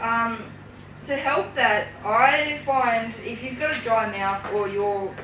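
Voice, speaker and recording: A woman talks with ordinary pitch variation, with noticeable background noise and audible room echo around her. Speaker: youth space presenter. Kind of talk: casual chat. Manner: hesitant.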